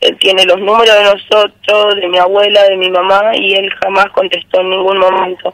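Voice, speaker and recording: Speaking at a moderate pace, a woman keeps a medium pitch in a flat monotone. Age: 20s. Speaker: local resident making a complaint. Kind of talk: radio interview testimony.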